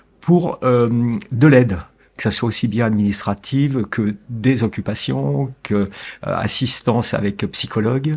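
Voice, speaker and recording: On a very clean recording with a silent background, a man talks at a very slow pace. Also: medium pitch for a man, lively intonation. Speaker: family caregiver. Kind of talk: interview. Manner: calm, measured; hesitant.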